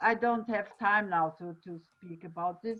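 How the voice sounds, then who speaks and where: A woman with a Portuguese accent. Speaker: festival director. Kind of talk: online panel discussion. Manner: halting.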